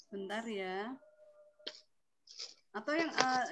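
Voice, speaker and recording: Her voice is pitched fairly high. The speaker is a woman. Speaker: meditation instructor. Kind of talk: online group session. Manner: soft-spoken. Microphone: too quiet.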